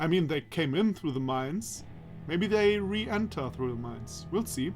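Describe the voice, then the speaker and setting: Music plays in the background as a man speaks at a moderate pace with very wide pitch swings. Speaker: let's play narrator. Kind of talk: reading a visual novel aloud with commentary.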